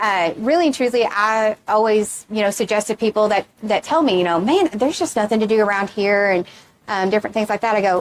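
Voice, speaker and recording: The speech moves at a fairly quick pace with very even loudness and ordinary pitch variation. The sound is dry and close, with no echo. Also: woman, fairly high pitch for a woman. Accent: Texan. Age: 30s. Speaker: reunion committee member. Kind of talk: interview. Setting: event center pavilion.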